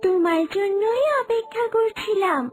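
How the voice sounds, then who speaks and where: A cartoonish character voice at an extremely high pitch over clear music in the background. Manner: gentle, kindly.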